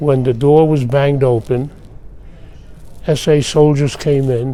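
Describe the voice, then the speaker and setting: Noticeable background noise sits behind a man whose fairly high voice moves at a fairly slow pace in a monotone, flat way. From Austria. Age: 80s+. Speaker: Holocaust survivor. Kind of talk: testimony. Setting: press office interview.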